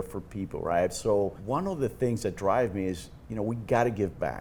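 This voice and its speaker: This man has a fairly low voice with a dark, mellow tone and a Cuban accent. His pitch rises and falls in an ordinary way. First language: Spanish. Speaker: insurance executive. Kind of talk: podcast interview.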